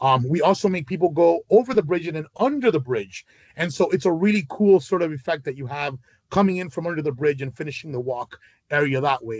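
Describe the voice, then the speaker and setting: A man speaks at a fairly quick pace with a fairly high pitch and lively intonation. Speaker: charity event organizer. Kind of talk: video call meeting. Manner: fast; hesitant, many fillers.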